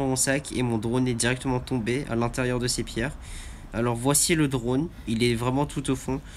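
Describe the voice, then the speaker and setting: Fairly even intonation at a moderate pace. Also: man. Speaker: vlogger. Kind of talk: travel vlog. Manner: halting.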